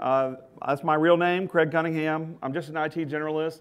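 A man speaks at a fairly quick pace, his intonation staying fairly even. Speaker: conference presenter. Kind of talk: conference talk. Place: hall. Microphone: podium.

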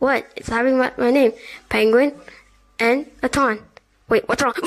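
This is a cartoonish character voice that sounds female and pitched high. It moves at a moderate pace. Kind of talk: comic puppet show. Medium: puppet show. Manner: excitable, goofy.

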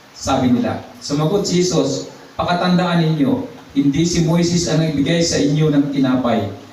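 A man's voice at a moderate pace, against noticeable background noise. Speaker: preacher. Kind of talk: sermon. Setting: church. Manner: animated, exhortative preaching with praise interjections.

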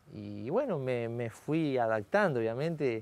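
The man speaks at a very slow pace. His intonation is lively. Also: dry sound with no echo. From Argentina, Salto, Buenos Aires province; Buenos Aires province, Argentina. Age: 40s. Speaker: racing driver; guest. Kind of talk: interview. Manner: halting, many fillers. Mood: relaxed, reflective, smiling. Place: studio. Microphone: lapel.

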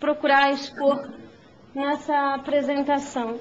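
Speaking at a moderate pace, a woman uses a high voice. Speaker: mayor. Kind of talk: formal public hearing speech.

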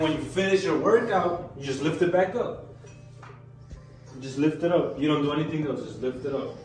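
Audible room echo and light background noise accompany a man speaking at a moderate pace with fairly even intonation. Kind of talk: casual vlog chat. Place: gym. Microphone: camera far.

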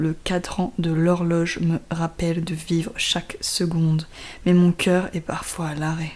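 Over noticeable background noise, a woman speaks at a very slow pace in a flat, monotone intonation. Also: fairly low pitch for a woman. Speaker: poet reading her own poem. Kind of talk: poetry reading.

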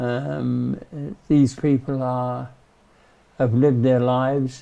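Very slowly and with fairly even intonation, a man speaks in a dark, mellow tone. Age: 80s+. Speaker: volunteer church ossuary steward. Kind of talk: documentary interview reflection. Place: tunnel cave.

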